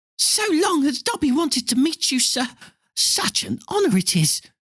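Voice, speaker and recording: At a moderate pace, someone performs a put-on character voice with a high pitch. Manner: nervous, reverent, eager.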